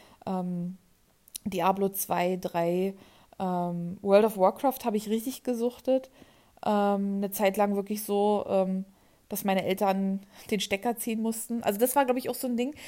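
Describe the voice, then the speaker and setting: Long, frequent pauses break up a fairly slow delivery in a dark, mellow tone with fairly even intonation. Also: woman, medium pitch for a woman. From eastern Germany, near Berlin. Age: 20s. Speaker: podcaster. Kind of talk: personal monologue. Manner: hesitant, many filler sounds.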